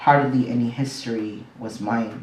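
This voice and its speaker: A man talks in a Mexican accent. Noticeable background noise and audible room echo are present. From Mexico, then Southern California and Las Vegas. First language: Spanish. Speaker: poet. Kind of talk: poetry reading.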